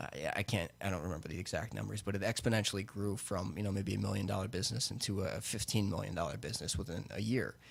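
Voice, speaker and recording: On a very clean recording with a silent background, a man with vocal fry speaks very fast at a very deep, low pitch, with ordinary pitch variation and hardly any pauses. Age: 20s. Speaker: podcast host. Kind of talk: casual chat. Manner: animated.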